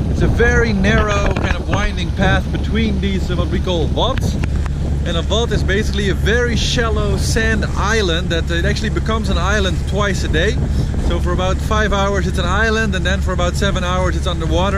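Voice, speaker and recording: A man talks at a fairly quick pace over loud background noise, his sound dry with no echo. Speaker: solo sailor vlogger. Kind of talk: casual vlog chat. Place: boat. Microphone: phone near.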